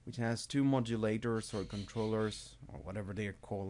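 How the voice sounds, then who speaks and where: A man's speech with a non-native accent at a moderate pace. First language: not English. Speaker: music production tutorial maker; hobbyist music tutor. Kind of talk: tutorial. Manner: halting, with self-corrections. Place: home room. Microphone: webcam.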